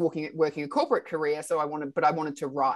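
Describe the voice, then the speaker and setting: Against a quiet background, a woman with an Australian accent talks at a very deep, low pitch. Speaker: radio host and art mentor. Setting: video call.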